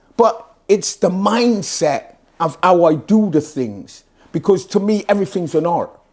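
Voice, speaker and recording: At a fairly slow pace, a man talks in an animated tone with a high voice and ordinary pitch variation. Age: 60s. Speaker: fitness motivator. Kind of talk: interview.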